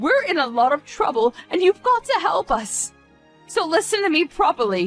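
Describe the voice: In a put-on character voice, a woman swings her extremely high pitch widely, with a dry, close sound with no echo and faint music in the background. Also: moderate pace.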